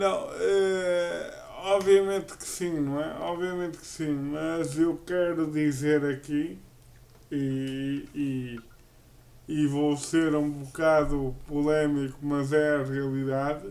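Amid audible room echo, a man with a fairly high voice speaks very slowly. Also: ordinary pitch variation. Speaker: podcast co-host, wheelchair user. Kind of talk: casual chat.

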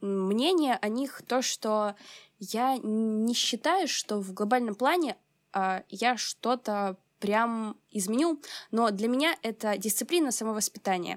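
At a very slow pace, a woman with a fairly high pitch speaks with ordinary pitch variation in a dry, close sound with no echo. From Ukraine, Odesa. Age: 20s. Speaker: climatology student and climate activist. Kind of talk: interview.

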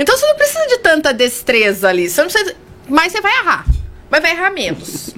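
Speech at a fairly quick pace over noticeable background noise. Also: woman. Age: 40s. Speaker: communicator and confidence mentor. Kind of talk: casual interview chat. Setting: radio studio.

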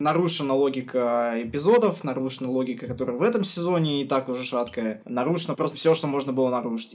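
A man talks at a very fast pace in a fairly high voice. Noticeable background noise runs underneath. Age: 20s. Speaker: podcast co-host. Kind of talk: casual chat. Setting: remote call. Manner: animated.

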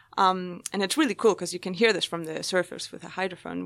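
In a very clean recording with a silent background, a woman with a Spanish accent speaks at a moderate pace with a bright, sharp tone and medium pitch. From Spain. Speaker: marine biology PhD student. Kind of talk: interview. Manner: hesitant, many fillers.

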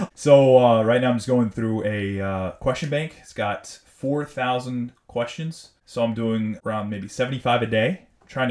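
In a normal speaking voice, a man with an American accent talks at a medium pitch and moderate pace, with ordinary pitch variation, hardly any pauses and big swings in loudness. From US South Florida. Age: 30s. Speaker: medical student. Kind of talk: casual chat.

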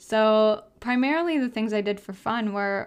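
An animated voice with a Wisconsin accent comes through on a very clean recording with a silent background. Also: woman. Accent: Upper Midwest (Wisconsin). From Wisconsin, small town. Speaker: podcast host. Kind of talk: casual monologue. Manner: animated, laughs often.

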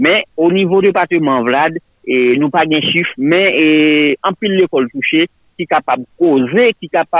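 In an unremarkable speaking voice, a man talks at a moderate pace with a fairly high pitch. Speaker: field reporter. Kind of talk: remote news report.

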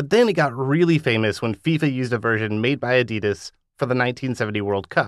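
A plain, everyday voice with lively intonation at a fairly quick pace. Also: man. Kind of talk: interview. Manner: laughing, conversational.

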